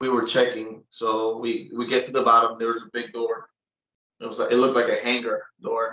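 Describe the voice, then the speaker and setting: With a bright, sharp tone, a man of medium pitch speaks in a monotone, flat way at a moderate pace. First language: Spanish or Portuguese. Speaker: claimed military insider. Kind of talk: interview testimony. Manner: halting, with many repetitions.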